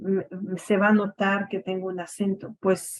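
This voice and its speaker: A woman at a medium pitch with a French Canadian accent. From Quebec, Montreal. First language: French (speaking Spanish). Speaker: education academic. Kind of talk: radio interview. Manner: hesitant, many fillers.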